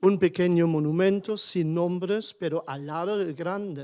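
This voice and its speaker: A man speaks at a high pitch with fairly even intonation. The recording is very clean with a silent background. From Germany, small village. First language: German (speaking Spanish). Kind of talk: panel discussion contribution. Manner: halting.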